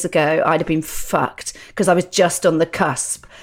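A woman with a fairly low voice speaks in an English accent. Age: 50s. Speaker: stand-up comedian. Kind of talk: casual chat.

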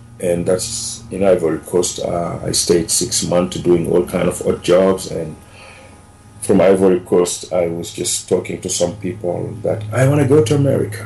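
A fairly low-pitched man talks while noticeable noise sounds in the background. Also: ordinary pitch variation, moderate pace. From Senegal. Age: 40s. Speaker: immigrant sharing life story. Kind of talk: interview storytelling.

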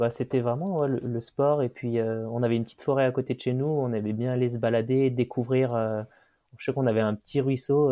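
In a normal speaking voice, a man talks at a fairly quick pace and a medium pitch with fairly even intonation. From France, Loire near Saint-Étienne. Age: 20s. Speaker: mountain guide and orienteering athlete. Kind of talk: interview storytelling.

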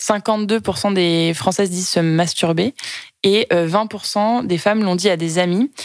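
There is noticeable background noise behind the speaker. A woman talks at medium pitch with fairly even intonation. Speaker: podcast co-host. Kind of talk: casual chat.

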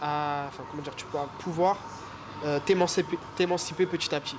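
Here a man speaks at a moderate pace, high in pitch, with fairly even intonation. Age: 20s. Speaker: photographer and filmmaker. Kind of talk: casual chat.

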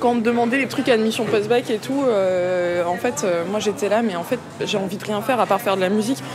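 Over crowd noise and audible room echo, a woman talks at a fairly high pitch with ordinary pitch variation. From Paris and Vitry-sur-Seine suburbs, France. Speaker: musician. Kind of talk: casual chat.

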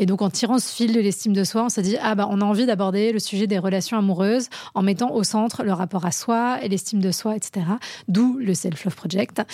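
This is a normal speaking voice at a fairly quick pace. Its pitch varies in an ordinary way while the loudness stays very even. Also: woman, medium pitch for a woman. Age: 30s. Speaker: relationship coach and entrepreneur. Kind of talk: casual interview.

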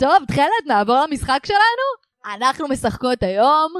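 In a dry, close recording with no echo, a woman speaks at a high pitch and a fairly slow pace, her pitch swinging very widely. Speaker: podcast host. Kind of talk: casual chat. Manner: exaggerated clear diction.

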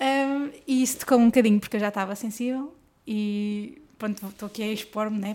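This woman talks at a fairly quick pace with a fairly high pitch. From northern Portugal, Guimarães. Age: 20s. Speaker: professional tennis player. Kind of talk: casual interview chat.

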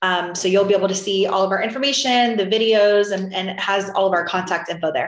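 Speaking at a very fast pace with hardly any pauses, a woman talks in an American accent with fairly even intonation. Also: medium pitch for a woman. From Florida. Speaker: short sale real estate business owner. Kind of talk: interview.

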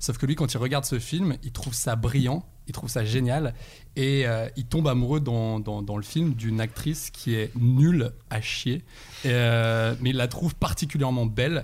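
A man speaks at a medium pitch with ordinary variation. His moderate-paced delivery is somewhat breathy. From Saint-Étienne, France. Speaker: actor and screenwriter. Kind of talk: casual chat.

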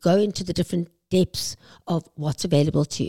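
A woman with a South African accent speaks in a dark, mellow tone at medium pitch, dry and close with no echo, on a very clean recording with a silent background. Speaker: aesthetics clinic CEO. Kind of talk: interview.

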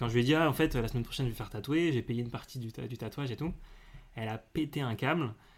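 Talking at a very fast pace, a man keeps his pitch variation ordinary. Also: medium pitch for a man. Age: 20s. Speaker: communications worker interviewed about love life. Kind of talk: casual interview. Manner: halting.

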